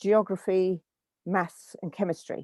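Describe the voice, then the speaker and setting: A woman with an English accent speaks at a fairly slow pace in a medium pitch, with a dark, mellow tone and fairly even intonation. The sound is dry and close with no echo, on a very clean recording with a silent background. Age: 70s. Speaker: guest sharing life story. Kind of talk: interview. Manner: hesitant, with repeated words.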